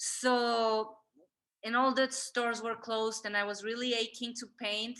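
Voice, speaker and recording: A woman with a Spanish accent speaks at a moderate pace in a monotone, flat intonation, her fairly high-pitched voice bright and sharp against a quiet background. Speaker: artist. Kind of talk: interview. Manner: halting.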